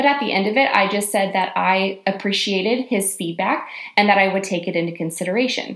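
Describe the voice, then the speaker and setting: A woman at a medium pitch, speaking at a moderate pace. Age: 20s. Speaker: podcast host, YA author and YouTuber. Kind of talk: solo motivational podcast monologue. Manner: animated.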